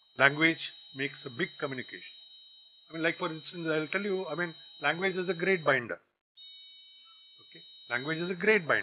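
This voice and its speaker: Speaking in a Tamil accent, a man with a fairly high pitch talks at a fairly quick pace with ordinary pitch variation, big swings in loudness and long, frequent pauses. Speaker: guest lecturer, business executive. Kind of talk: lecture. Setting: college campus lecture hall.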